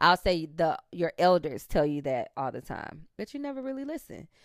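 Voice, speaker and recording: A woman speaks in an animated tone with a very deep, low pitch and very wide pitch swings. The recording is very clean with a silent background. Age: 30s. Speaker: podcast host. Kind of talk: casual monologue.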